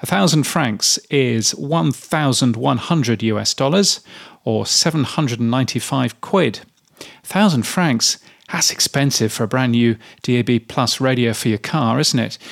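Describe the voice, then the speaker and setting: With lively intonation, a man talks at a moderate pace in an ordinary speaking voice. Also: medium pitch for a man. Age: 50s. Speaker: radio industry newsletter writer and podcaster. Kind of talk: solo commentary reading own newsletter. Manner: casual with filler words.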